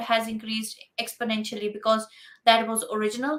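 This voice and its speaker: Over music in the background, a woman with a high pitch speaks with fairly even intonation. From India. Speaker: entrepreneur. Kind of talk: interview.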